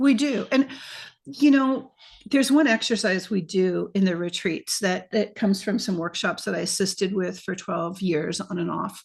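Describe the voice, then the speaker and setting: Against a quiet background, a woman speaks somewhat breathily with lively intonation. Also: medium pitch for a woman, moderate pace. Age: 60s. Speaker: retreat facilitator and podcaster. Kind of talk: interview. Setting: video call.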